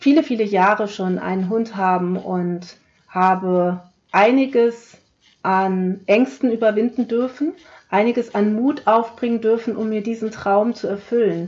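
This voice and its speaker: A woman's warm tone at a medium pitch and fairly slow pace, with ordinary pitch variation. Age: 40s. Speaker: podcast host, heart-healing coach. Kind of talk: solo podcast monologue. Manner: warm, direct address to listener.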